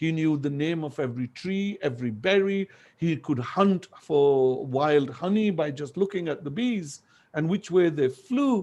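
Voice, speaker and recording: With a Punjabi accent, a man talks fairly slowly in a fairly high pitch and lively intonation. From Pakistan, northern Punjab. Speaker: language activist and educator. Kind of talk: lecture.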